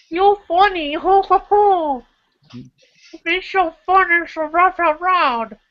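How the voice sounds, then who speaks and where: A put-on character voice at an extremely high pitch, very slow, with long, frequent pauses. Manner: jovial, laughing.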